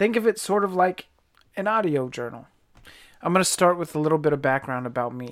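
A man at a high pitch with an American accent, lively intonation, a fairly quick pace and long, frequent pauses. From Virginia, US. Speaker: podcast host and army veteran. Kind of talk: podcast intro monologue.

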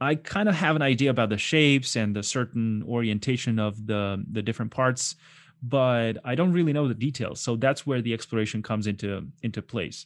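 Speaking at a fairly quick pace with a non-native accent, a man uses a medium pitch with ordinary pitch variation. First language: not English. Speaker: concept artist. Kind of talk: casual chat. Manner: animated.

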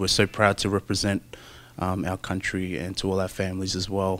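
The voice has an Australian accent, on a very clean recording with a silent background. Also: man. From Brisbane, Australia. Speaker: rugby player. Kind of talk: interview. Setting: in Japan during the Rugby World Cup. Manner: halting, many fillers.

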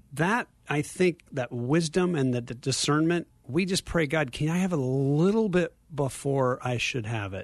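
At a moderate pace, a man with a fairly high pitch talks in a normal speaking voice. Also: lively intonation. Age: 50s. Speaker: ministry leader. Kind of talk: radio interview. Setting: studio.

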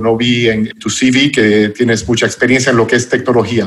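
With an English accent, a man speaks at a moderate pace over noticeable background noise. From United States. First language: English (speaking Spanish). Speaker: podcast host. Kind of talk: interview.

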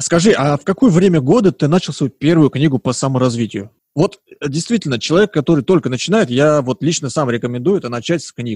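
Somewhat breathy and fairly quick, the voice has lively intonation and a dry, close sound with no echo. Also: man, fairly high pitch for a man. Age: 20s. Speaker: podcast host. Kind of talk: casual chat.

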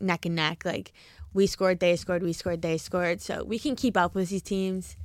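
A woman with a New Jersey accent talks at a moderate pace, her pitch fairly low. Her pitch varies in an ordinary way, and the recording is very clean with a silent background. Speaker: college lacrosse player and club vice president. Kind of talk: casual chat.

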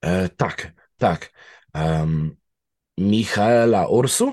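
His intonation rises and falls in a lively way. The man is heard against a quiet background. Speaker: true crime expert on serial killers. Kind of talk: casual chat.

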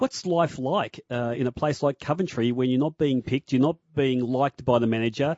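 A man speaks with an Australian accent at a medium pitch. His pace is moderate. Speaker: sports radio host. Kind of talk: radio interview. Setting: studio.

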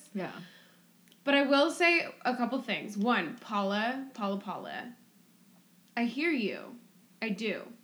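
At a fairly slow pace, a woman with a high pitch speaks with lively intonation and long, frequent pauses. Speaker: podcast co-host. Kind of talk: casual chat.

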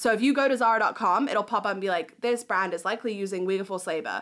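A woman at a very fast pace with lively intonation, in a very clean recording with a silent background. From Southeast Asia. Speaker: human rights advocate. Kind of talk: interview. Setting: studio.

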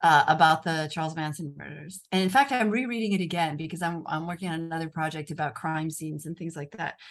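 A woman with an American accent, fairly low pitch, ordinary pitch variation, a very fast pace and big swings in loudness, against a quiet background. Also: hardly any pauses. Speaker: author and journalist. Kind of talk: casual interview chat. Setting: video call from Rome.

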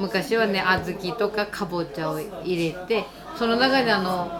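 With audible room echo and noticeable background noise, a woman talks at a fairly slow pace in a medium pitch, her pitch varying in an ordinary way. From Iwate, Japan (Nishine, foot of Mt. Iwate). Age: old. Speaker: sushi restaurant cook. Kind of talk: interview.

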